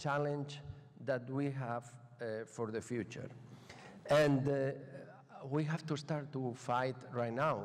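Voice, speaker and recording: A man speaks fairly slowly at a medium pitch, with ordinary pitch variation. Room echo is audible. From Spain. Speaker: professor. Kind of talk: lecture. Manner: halting.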